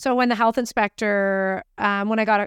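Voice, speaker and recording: Speaking at a fairly quick pace with a Canadian accent, a woman has a fairly high pitch and ordinary pitch variation. The recording is very clean with a silent background and a dry, close sound with no echo. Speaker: baker and bakery owner. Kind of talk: casual chat. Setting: studio.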